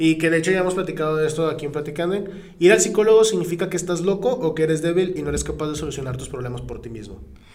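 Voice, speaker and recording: Talking at a very fast pace, a man with a high pitch uses lively intonation and an animated tone, his loudness swinging widely amid audible room echo and noticeable background noise. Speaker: podcast co-host. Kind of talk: casual chat.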